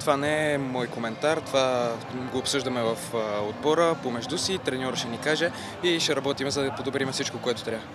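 A man talks at a fairly quick pace with fairly even intonation, in a dry recording with no echo and noticeable background noise. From Bulgaria. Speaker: footballer. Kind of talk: post-match interview. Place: stadium. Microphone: handheld.

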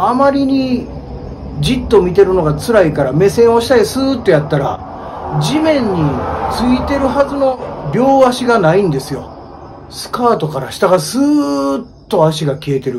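With a high pitch and very wide pitch swings, a man speaks at a fairly slow pace over light background noise. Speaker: ghost story teller. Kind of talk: ghost story telling on location. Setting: outdoors at a highway bus stop at night. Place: street. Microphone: phone near.

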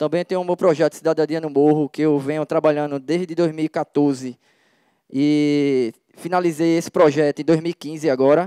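A man with a dark, mellow tone and fairly high pitch speaks at a moderate pace with fairly even intonation. The sound is dry with no echo, over a quiet background. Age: 30s. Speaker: hip hop dance teacher and community organizer; hip hop dance teacher. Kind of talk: public presentation. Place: tent. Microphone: handheld.

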